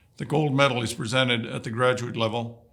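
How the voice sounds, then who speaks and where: Vocal fry runs through a bright, sharp tone. The recording is very clean, with a silent background. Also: man. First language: Woodland Cree. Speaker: vice-regal dignitary. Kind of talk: prepared ceremonial address. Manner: formal.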